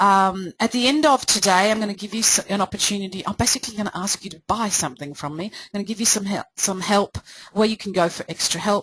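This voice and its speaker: Talking at a very fast pace with hardly any pauses, a woman speaks with an Australian accent. Her medium pitch shows ordinary variation, in a dry, close sound with no echo. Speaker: presentation coach. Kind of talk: webinar presentation. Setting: live webinar.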